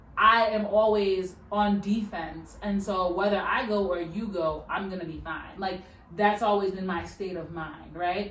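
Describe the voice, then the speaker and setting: Noticeable background noise and audible room echo fill this recording. A woman talks at a medium pitch with ordinary pitch variation. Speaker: podcast co-host. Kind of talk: casual chat. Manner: animated.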